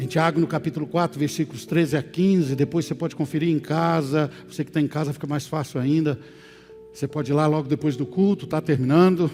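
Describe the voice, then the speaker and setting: Against music in the background, a man with a fairly high pitch talks at a fairly quick pace with fairly even intonation. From Brazil, Minas Gerais (Oliveira). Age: 60s. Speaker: pastor. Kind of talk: sermon. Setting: church service, also streamed.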